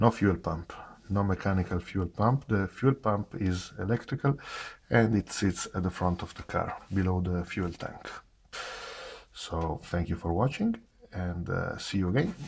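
Somewhat breathy, a man with a non-native accent speaks at a fairly low pitch and a fairly slow pace. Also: ordinary pitch variation. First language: not English. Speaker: car enthusiast. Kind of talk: casual technical walkaround to camera. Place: garage. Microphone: phone near.

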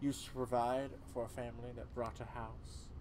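A man's put-on character voice at a fairly slow pace, over loud background noise. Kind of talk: solo game voice acting. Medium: solo performance. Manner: grim, storytelling, bitter.

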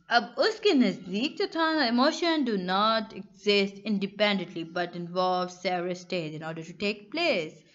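A woman with medium pitch and a plain, everyday voice speaks with hardly any pauses. Her intonation is lively, and her loudness swings widely. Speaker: online tutor. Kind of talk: lecture. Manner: conversational.

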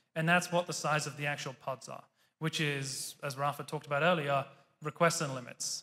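This man has a British accent and fairly even intonation. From Britain. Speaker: tech executive giving a conference talk; conference speaker. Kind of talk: conference talk. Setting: stage with audience. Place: hall. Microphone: podium.

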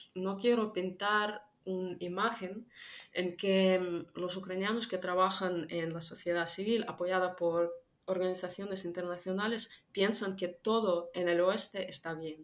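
A woman speaks in a flat monotone at a fairly slow pace. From Ukraine. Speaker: political analyst; interview guest. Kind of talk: interview. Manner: halting, many fillers. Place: home room.

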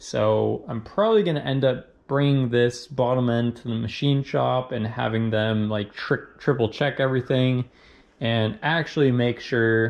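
Fairly even intonation at a fairly slow pace. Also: man. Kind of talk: tutorial. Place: garage. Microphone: phone near.

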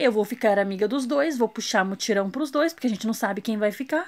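At a fairly quick pace, a woman with a fairly high pitch uses an ordinary speaking voice and ordinary pitch variation. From Brazil. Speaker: reality show commentator YouTuber. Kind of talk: casual vlog commentary. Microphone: phone near.

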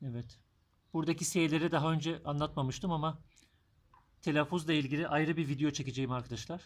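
Fairly even in intonation, a man speaks at a fairly high pitch. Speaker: German language teacher. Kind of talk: tutorial. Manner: slow.

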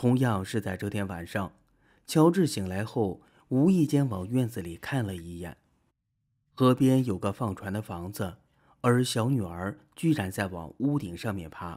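A man's dark, mellow tone at a fairly low pitch, fairly slow, with big swings in loudness, on a very clean recording with a silent background. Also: lively intonation. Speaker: video narrator. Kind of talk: true-crime horror narration, film-recap storytelling. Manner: steady, measured storyteller pacing, building eerie suspense.

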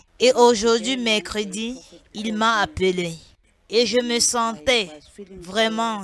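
The pace is very slow. The sound is dry with no echo, over light background noise. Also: woman. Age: 30s. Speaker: deliverance congregant. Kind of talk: testimony. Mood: subdued, earnest. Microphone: handheld.

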